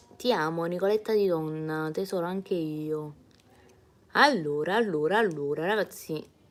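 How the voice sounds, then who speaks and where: At a moderate pace with long, frequent pauses, a woman speaks in an animated tone at a fairly low pitch, with ordinary pitch variation. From Naples, Italy. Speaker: singer. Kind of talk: live stream chat reading comments. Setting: live streaming from home. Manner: chatty, animated.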